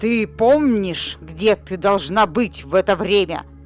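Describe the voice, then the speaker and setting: A woman at medium pitch uses a put-on character voice at a fairly slow pace, with clear music in the background and hissing. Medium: read story. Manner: harsh, commanding, often hissing.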